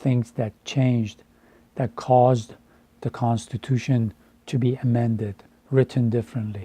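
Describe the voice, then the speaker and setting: In an Iranian accent, a man speaks at a medium pitch, fairly slowly, with long, frequent pauses and monotone, flat intonation. His tone is dark, mellow and somewhat breathy, and the sound is dry and close with no echo. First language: Farsi. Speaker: translator and educator. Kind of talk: personal monologue. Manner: halting.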